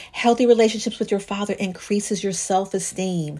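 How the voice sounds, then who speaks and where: A woman's medium-pitched, animated voice on a very clean recording with a silent background. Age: 50s. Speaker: divorce coach and podcast host. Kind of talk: solo podcast talk.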